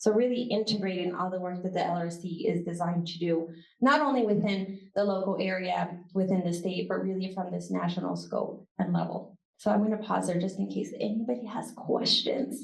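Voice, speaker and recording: Vocal fry runs through the speech at a fairly quick pace. Audible room echo can be heard. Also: woman, medium pitch for a woman, ordinary pitch variation. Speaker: university professor and research center director. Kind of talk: conference talk with Q&A. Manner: fast.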